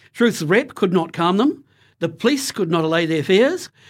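The delivery is an unforced reading voice with lively intonation.

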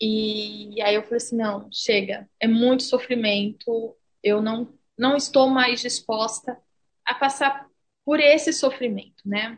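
A woman speaks at a very slow pace. Her fairly high voice keeps fairly even intonation. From Brazil, São Paulo city. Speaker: Brazilian immigrant. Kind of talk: interview.

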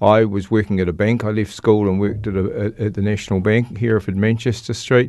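Against a quiet background, a man with a New Zealand accent speaks at a fairly low pitch with fairly even intonation. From New Zealand, Christchurch. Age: 70s. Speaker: recovering alcoholic. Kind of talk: testimony. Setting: studio. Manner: halting.

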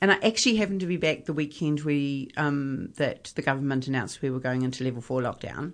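A woman with a New Zealand accent speaks with lively intonation at a fairly quick pace. The background is quiet. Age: 50s. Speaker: journalist and broadcaster. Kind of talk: interview conversation.

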